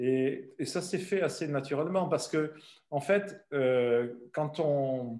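This man has a dark, mellow tone. He talks at a very slow pace. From southern France. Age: 60s. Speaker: travel company founder. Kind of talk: interview. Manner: halting.

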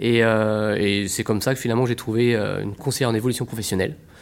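A man speaks in an ordinary speaking voice at a medium pitch. His pace is moderate. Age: 40s. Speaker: trainee home care aide, former retail manager. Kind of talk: interview.

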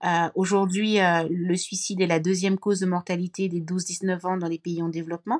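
At a moderate pace and medium pitch, a woman speaks in a flat monotone with hardly any pauses, the sound dry and close with no echo. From Cameroon. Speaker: social entrepreneur and author. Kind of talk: casual interview conversation.

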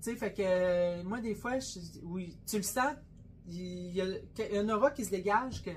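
A woman speaks at medium pitch, somewhat breathy, with ordinary pitch variation. Her pace is fairly slow, broken by long, frequent pauses. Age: 50s. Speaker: butcher shop owner and podcast co-host. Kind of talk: casual chat.

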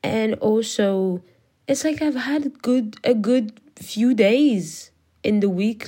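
A woman's dark, mellow voice in a French accent, with ordinary pitch variation, in a very clean recording with a silent background. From France. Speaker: podcaster. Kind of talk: casual monologue. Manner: halting, many fillers and restarts.

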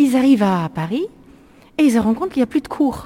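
Somewhat breathy, a woman with a German accent speaks in a dark, mellow tone with very wide pitch swings. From Germany, Lake Constance. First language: German (speaking French). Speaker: tour guide. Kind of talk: guided tour. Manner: halting.

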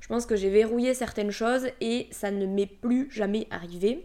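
A woman speaks with a Toulouse accent at a fairly high pitch. Her intonation is fairly even. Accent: southern French (Toulouse). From Toulouse area, southern France. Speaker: podcast host, energy healer. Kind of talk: casual monologue.

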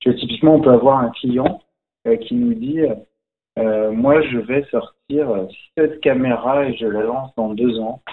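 Speaking at a very slow pace with long, frequent pauses, a man holds a medium pitch with ordinary pitch variation. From France, Algerian Berber (Kabyle) family. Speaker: magician. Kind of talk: casual interview.

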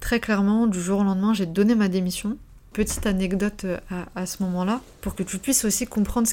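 A woman with a dark, mellow tone speaks at medium pitch and a moderate pace in a flat monotone, captured in a very clean recording with a silent background. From Paris region (Seine-Saint-Denis), France. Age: 20s. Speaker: life coach. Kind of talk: personal testimony monologue. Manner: unscripted, hesitant with repetitions.

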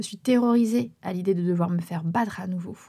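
Talking at a fairly quick pace, a woman has a dark, mellow tone. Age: 30s. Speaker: singer and podcaster. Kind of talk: personal testimony narration.

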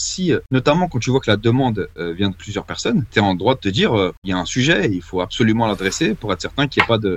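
At a very fast pace, a man with a medium pitch speaks with lively intonation. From Paris suburbs, Val d'Oise. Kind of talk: podcast interview.

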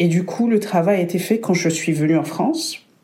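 Audible room echo surrounds a woman speaking at a moderate pace with a fairly low pitch and fairly even intonation. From Burundi. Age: 30s. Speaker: guest, hospitality worker. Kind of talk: casual chat.

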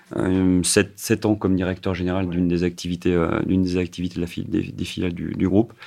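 Over a quiet background, a man with a very deep, low pitch talks at a fairly quick pace with monotone, flat intonation and hardly any pauses. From France, Saint-Étienne. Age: 50s. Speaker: company president. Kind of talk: radio interview. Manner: halting, many repetitions and fillers.

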